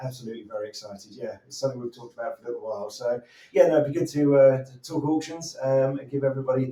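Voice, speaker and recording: A man in a British accent talks at a very fast pace, his medium pitch showing ordinary variation. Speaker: auctioneer presenting upcoming property lots. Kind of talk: live show presenter talk about property auction lots.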